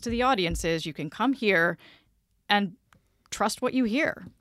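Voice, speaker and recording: A woman with an American accent speaks at a fairly slow pace in a bright, sharp tone with lively intonation. The recording is very clean with a silent background. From US South, south Georgia (Vidalia). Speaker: public radio station manager. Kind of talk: interview. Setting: studio.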